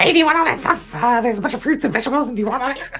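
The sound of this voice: A put-on character voice rattles along at a very fast pace with a high pitch. Light background noise can be heard.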